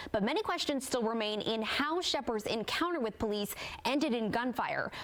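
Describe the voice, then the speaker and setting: A woman's high-pitched, serious voice at a moderate pace, with lively intonation and very even loudness amid noticeable background noise. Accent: American. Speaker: local TV news anchor and reporter. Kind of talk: TV news anchor read. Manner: professional, serious, clear.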